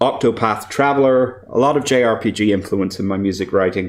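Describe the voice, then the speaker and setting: He speaks with an Irish accent. This man's fairly low pitch carries fairly even intonation. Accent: Irish, described as weird. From Ireland. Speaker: composer and voice actor. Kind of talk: conference presentation. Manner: hesitant, many fillers.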